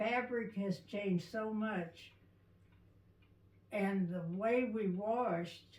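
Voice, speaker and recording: A woman at a very slow pace with fairly even intonation and audible room echo. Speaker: oral history interviewee. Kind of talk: oral history interview. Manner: halting.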